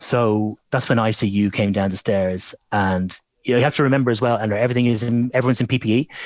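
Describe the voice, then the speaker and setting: In a very clean recording with a silent background, a man speaks with an Irish accent at a very fast pace. The sound is dry and close with no echo, and his intonation is fairly even. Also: medium pitch for a man, very even loudness. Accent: gentle Irish lilt. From Ireland. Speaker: voiceover artist. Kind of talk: interview. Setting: at home.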